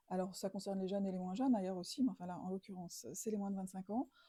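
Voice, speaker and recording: A woman speaks with a dark, mellow tone at a medium pitch, somewhat breathy. Her pitch varies in an ordinary way. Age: older than 24. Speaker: interviewer. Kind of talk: semi-structured interview. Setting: living room. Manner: hesitant, many fillers.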